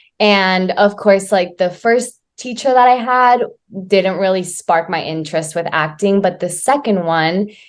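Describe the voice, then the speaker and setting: A woman with an American accent and a plain, everyday voice speaks at a fairly slow pace, with medium pitch and ordinary pitch variation, in a very clean recording with a silent background. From US, Oklahoma. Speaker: actress and dancer. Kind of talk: interview.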